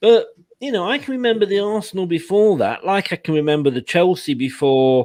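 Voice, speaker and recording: A man speaks at a high pitch with very wide swings in pitch. His pace is moderate, and the background is quiet. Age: 60s. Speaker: football fan. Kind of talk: casual chat.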